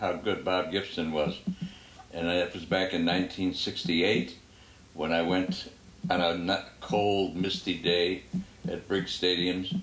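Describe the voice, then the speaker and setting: Very deep and low, a man's voice comes very slowly in a monotone, flat delivery with long, frequent pauses and audible room echo. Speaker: family sports podcast co-host. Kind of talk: casual chat.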